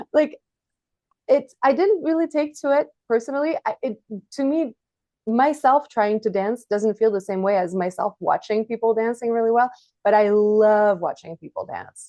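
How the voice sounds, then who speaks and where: Someone with a French accent and a dark, mellow tone speaks at a moderate pace with lively intonation, in a dry, close sound with no echo and a quiet background. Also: woman, fairly high pitch for a woman. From France, Paris suburbs. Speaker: author and journalist. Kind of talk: casual interview chat.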